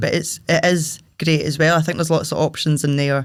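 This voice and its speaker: The speaker has a Scottish accent. The delivery moves at a fairly quick pace. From Paisley, Scotland. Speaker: singer-songwriter, drummer and club promoter. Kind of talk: interview answer. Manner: casual, chatty.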